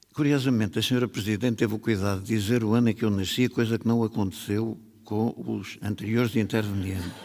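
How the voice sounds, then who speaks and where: A man at a fairly low pitch and very fast pace, with hardly any pauses, fairly even intonation and very even loudness. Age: 80s+. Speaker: writer on festival panel. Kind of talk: panel talk. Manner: formal.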